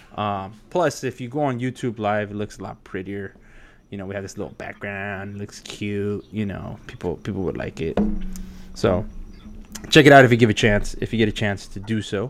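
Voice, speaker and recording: In a normal speaking voice, a man talks fairly quickly at a fairly low pitch. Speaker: podcast host. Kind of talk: casual chat.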